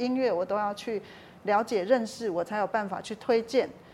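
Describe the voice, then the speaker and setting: Fairly high in pitch, a woman's unremarkable speaking voice shows ordinary pitch variation. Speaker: talent agent for visually impaired performers, author. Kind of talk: interview.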